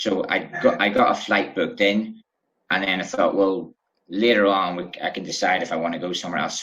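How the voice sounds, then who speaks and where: In a Northern Irish accent, a man speaks with a fairly low pitch and a bright, sharp tone. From Bangor, Northern Ireland. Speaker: travel writer. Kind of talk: interview answer.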